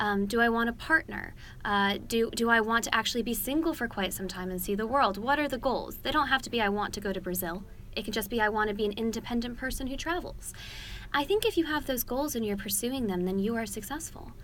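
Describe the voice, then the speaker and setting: Someone speaks very fast with an American accent and ordinary pitch variation. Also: woman. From United States. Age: 20s. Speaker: political commentator. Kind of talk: interview. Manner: articulate, measured.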